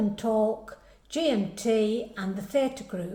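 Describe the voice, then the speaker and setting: With an English Midlands accent, a woman speaks using ordinary pitch variation. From English Midlands, Derbyshire-Staffordshire border. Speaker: club committee member. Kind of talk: personal introduction.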